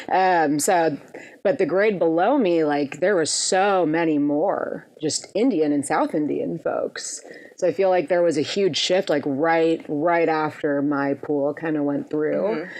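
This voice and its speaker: Over noticeable background noise, a woman speaks at a fairly slow pace and fairly low pitch, with ordinary pitch variation and very even loudness. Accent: American. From US Midwest, Minneapolis, Minnesota. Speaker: electronic pop musician. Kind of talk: podcast interview.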